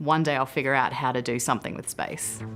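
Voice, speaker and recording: Speaking very fast with an Australian accent, a woman has a very deep, low pitch. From Australia (Adelaide). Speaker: flight controller, space engineer. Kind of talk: interview. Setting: mission control building.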